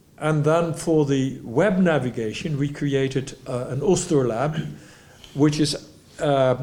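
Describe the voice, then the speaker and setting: With a Dutch accent, a man speaks at a fairly slow pace and fairly high pitch, his pitch varying in an ordinary way amid audible room echo. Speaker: type designer. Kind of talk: lecture. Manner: halting, with frequent restarts.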